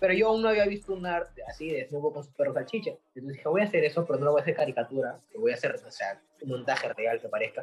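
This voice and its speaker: A man talks at a very fast pace with hardly any pauses. His loudness swings widely. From Peru. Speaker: graphic artist. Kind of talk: interview. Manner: casual.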